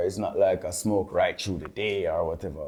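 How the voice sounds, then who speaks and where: A man speaks with a Jamaican accent. His pace is fairly quick. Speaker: dancehall artist and producer. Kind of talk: interview. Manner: halting.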